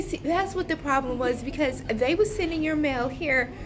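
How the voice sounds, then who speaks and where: A loud woman's voice over noticeable background noise. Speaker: vlogger. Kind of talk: casual vlog rant. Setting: waiting area of a government office. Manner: animated.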